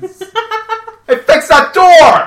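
A put-on character voice sounds squeaky, at an extremely high pitch. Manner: bossy, shouting.

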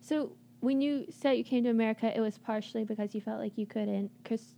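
Using a normal speaking voice, a woman speaks at a fairly quick pace with fairly even intonation. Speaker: college radio DJ. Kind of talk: casual chat. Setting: studio.

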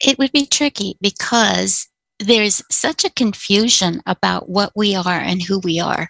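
A woman talks at a fairly slow pace with lively intonation and vocal fry. The sound is dry and close with no echo, over a quiet background. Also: medium pitch for a woman. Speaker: caller. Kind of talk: call-in discussion.

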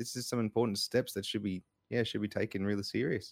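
Very fast speech from a man at a fairly low pitch, with fairly even intonation and a dry, close sound with no echo. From Brisbane, Queensland, Australia. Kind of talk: casual chat.

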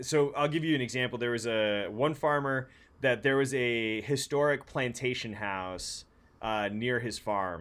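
A man in a normal speaking voice with an American accent talks at a medium pitch and a fairly slow pace, with ordinary pitch variation. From San Francisco, US West Coast. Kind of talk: casual chat.

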